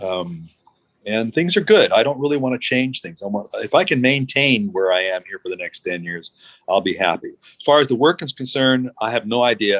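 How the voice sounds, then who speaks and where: A man with an American accent at a medium pitch, fairly quick pace, very wide pitch swings and big swings in loudness, in a dry, close sound with no echo. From United States. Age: 60s. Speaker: glass artist. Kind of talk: interview.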